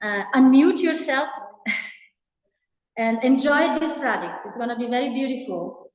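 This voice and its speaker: A woman's high-pitched voice with a non-native accent at a fairly slow pace, with audible room echo and music in the background. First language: not English. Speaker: event host. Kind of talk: event introduction. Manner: halting.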